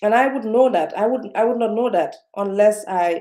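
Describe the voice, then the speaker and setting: In a dark, mellow tone, a woman speaks at a fairly slow pace with ordinary pitch variation. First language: not English. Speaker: self-development vlogger. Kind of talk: live-stream motivational talk. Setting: live video stream. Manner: slowed down, speaking carefully; halting, many fillers and repetitions.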